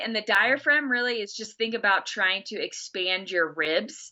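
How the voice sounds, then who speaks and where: A woman with a Texas accent, fairly high in pitch, with ordinary pitch variation and a fairly slow pace. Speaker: health or breathing instructor giving advice.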